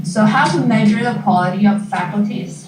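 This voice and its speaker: Audible room echo and light background noise surround a woman's voice. She speaks at a moderate pace with monotone, flat intonation. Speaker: graduate student presenter; presenter. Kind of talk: informational presentation. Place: classroom. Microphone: camera far.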